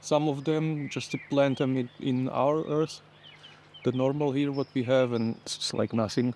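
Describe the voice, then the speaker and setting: Over noticeable background noise, a man with a non-native accent speaks at a moderate pace and a medium pitch in a monotone, flat intonation. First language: not English. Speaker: home gardener. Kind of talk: casual gardening vlog narration. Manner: halting.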